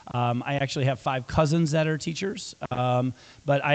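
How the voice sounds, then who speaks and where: A man speaks with a US Midwestern accent. His pitch varies in an ordinary way. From western Iowa, US Midwest. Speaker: school superintendent. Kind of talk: community meeting talk. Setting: public meeting with audience. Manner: casual, frequent fillers.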